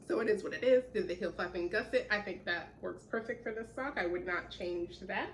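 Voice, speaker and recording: Over noticeable background noise, a woman speaks at a medium pitch and a fairly quick pace, with ordinary pitch variation and hardly any pauses. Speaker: knitting podcaster. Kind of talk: casual chat.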